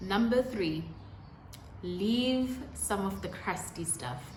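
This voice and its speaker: Over noticeable background noise and audible room echo, a woman speaks at a very slow pace with a medium pitch. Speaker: YouTuber. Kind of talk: casual talk to camera, tips. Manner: some stuttering.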